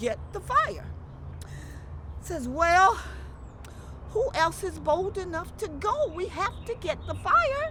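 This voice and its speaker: Talking at a fairly slow pace, a woman is heard against noticeable background noise. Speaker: storyteller. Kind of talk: family-friendly folk tale storytelling.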